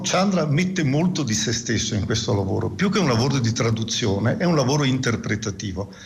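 This man talks at a fairly quick pace with a medium pitch. His pitch swings very widely, and background noise is noticeable. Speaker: physics professor. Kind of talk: radio interview.

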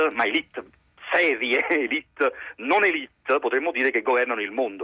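Fairly quick male speech, with a dry, close sound and no echo. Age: 30s. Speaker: actor and playwright. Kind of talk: radio interview. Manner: halting.

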